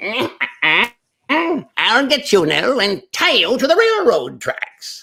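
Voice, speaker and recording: A put-on character voice, high-pitched and at a very slow pace. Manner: menacing, theatrical.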